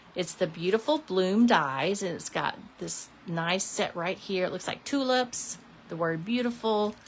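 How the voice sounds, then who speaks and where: A woman's plain, everyday voice at a medium pitch, with lively intonation and a fairly slow pace. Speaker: papercraft demonstrator. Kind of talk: crafting tutorial. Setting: live stream. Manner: casual, chatty.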